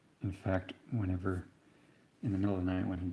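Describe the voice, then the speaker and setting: The voice is soft-spoken and somewhat breathy. Its tone is relaxed, dark and mellow. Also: man. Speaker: painter. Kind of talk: live-stream painting tutorial. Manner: relaxed, conversational.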